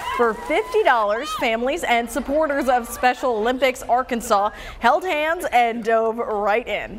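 A high-pitched woman with an American accent, fairly slow pace, ordinary pitch variation and hardly any pauses, amid noticeable background noise. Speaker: TV news anchor. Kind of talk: TV news anchor read.

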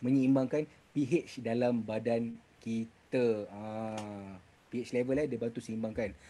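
A fairly slow pace pairs with a dark, mellow tone. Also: man. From Malaysia. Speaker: product presenter for a health supplement business; presenter. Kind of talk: product explainer presentation. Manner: hesitant, many filler sounds. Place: home room. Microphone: video call.

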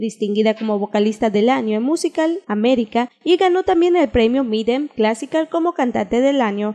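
A woman with a fairly high pitch and a dark, mellow tone moves at a fairly quick pace with lively intonation, in a dry, close sound with no echo. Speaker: television news reporter. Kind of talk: TV news report voice-over.

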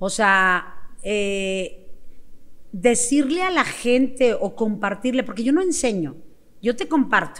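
A woman speaks in a high voice with lively, bouncing intonation. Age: 50s. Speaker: sales coach. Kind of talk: interview. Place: studio. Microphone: studio mic.

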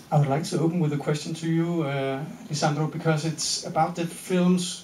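Delivered at a moderate pace with a Danish accent. Light background noise and audible room echo are present. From Denmark. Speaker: Q&A moderator. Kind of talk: audience Q&A after a film screening. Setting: stage with audience at a cinema. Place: hall.

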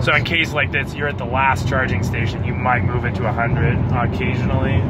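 Fairly quick speech in a dry sound with no echo, against loud background noise. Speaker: passenger asking the car owner questions. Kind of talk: casual conversation. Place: car. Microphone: phone near.

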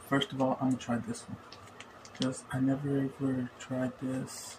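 Noticeable noise sits in the background. Over it, a man talks at a moderate speed. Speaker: vlogger. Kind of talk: casual vlog chat. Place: home room. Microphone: phone near.

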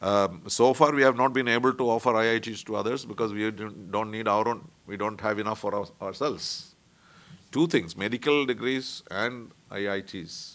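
Speaking with an Indian accent, a man keeps a moderate pace and ordinary pitch variation. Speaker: diplomat; guest, panelist. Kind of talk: talk; panel talk, lecture. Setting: conference room. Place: meeting room. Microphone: podium.

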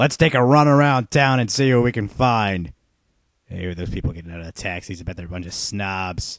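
Putting on a whiny character voice, a man speaks at medium pitch and a fairly quick pace. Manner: frantic, whiny, escalating.

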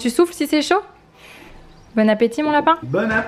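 Noticeable background noise surrounds the recording. A woman speaks at a moderate pace with lively intonation. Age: 20s. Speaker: vlogger. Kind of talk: talking to her child; casual vlog. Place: home room. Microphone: phone near.

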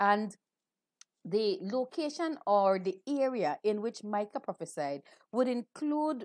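The pace is fairly slow, with very wide pitch swings. The background is quiet and the sound is dry with no echo. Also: woman. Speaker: Anglican clergy leading worship. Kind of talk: liturgy and sermon. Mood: calm, devotional. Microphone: earbuds.

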